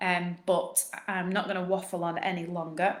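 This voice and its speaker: A woman speaks at a medium pitch and a fairly slow pace. Her intonation is monotone and flat, with audible room echo. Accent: northern English. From northern England. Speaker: postnatal fitness coach. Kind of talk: live Q&A. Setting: live stream.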